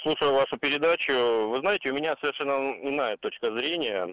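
A man talks at a fairly quick pace with a fairly high pitch and lively intonation. He has an ordinary speaking voice. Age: 30s. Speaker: radio caller. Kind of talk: phone-in call. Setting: phone call.

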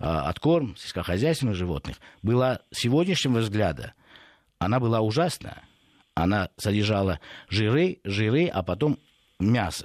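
A man talks at a fairly slow pace. The recording is very clean with a silent background, and the sound is dry and close, with no echo. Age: 50s. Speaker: food industry expert. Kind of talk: radio interview. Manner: hesitant, many filler sounds.

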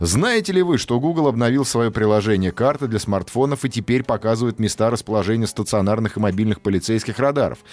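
A man talks at a very fast pace with hardly any pauses, a medium pitch and ordinary pitch variation. His loudness stays very even. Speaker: radio host. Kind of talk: casual chat. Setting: studio. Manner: animated.

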